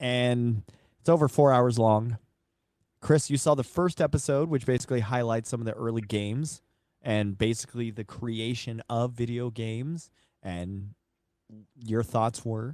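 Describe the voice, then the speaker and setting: This man speaks at a moderate pace in a medium pitch, with ordinary pitch variation and long, frequent pauses. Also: quiet background. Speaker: radio host. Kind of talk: casual chat. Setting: studio.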